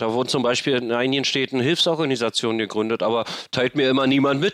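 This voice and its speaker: Recorded with a dry, close sound and no echo, a man talks very fast at a medium pitch with ordinary pitch variation. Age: 50s. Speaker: homelessness activist and podcaster. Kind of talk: interview. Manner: halting, many fillers.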